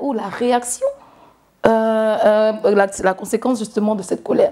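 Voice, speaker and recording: This is a woman speaking at a moderate pace. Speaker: interviewer. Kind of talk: interview. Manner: hesitant.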